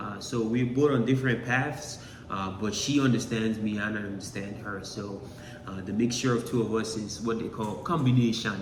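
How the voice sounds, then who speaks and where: A man speaks at medium pitch and moderate pace with fairly even intonation, amid audible room echo and noticeable background noise. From Nigeria. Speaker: YouTuber, social media entertainer. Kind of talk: casual chat.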